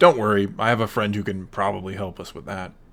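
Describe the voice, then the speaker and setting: A man's raspy, put-on character voice, fairly low in pitch, very fast, with ordinary pitch variation and big swings in loudness. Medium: read story.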